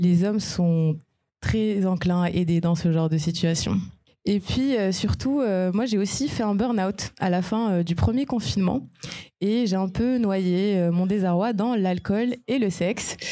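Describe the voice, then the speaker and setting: At a very slow pace, a woman speaks at a medium pitch with a dark, mellow tone, ordinary pitch variation and very even loudness. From Morocco. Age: 20s. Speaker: immigrant guest, business school graduate. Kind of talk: live podcast panel testimony. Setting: live recording before an audience.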